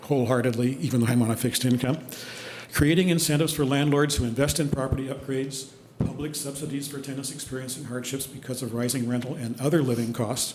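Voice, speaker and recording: A man talks at a very fast pace with medium pitch and fairly even intonation. Noticeable background noise and audible room echo surround his voice. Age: 70s. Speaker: public commenter, landlord. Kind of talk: public comment at council meeting. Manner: formal.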